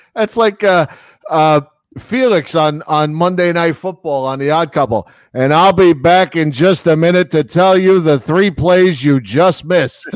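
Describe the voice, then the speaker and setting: A man's high-pitched voice with ordinary pitch variation at a fairly slow pace. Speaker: radio show host. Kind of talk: casual chat.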